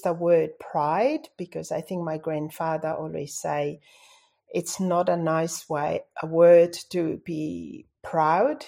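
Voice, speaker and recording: Her pitch fairly low, a woman talks at a very slow pace in a dark, mellow tone on a very clean recording with a silent background. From Tonga. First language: Tongan. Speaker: airline pilot and author. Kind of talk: interview.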